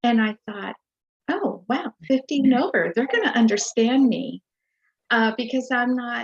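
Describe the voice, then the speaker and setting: In a dry, close recording with no echo, a woman speaks at a fairly high pitch with ordinary pitch variation. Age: 60s. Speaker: retired nurse, program client. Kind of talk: interview testimony. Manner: hesitant, many fillers.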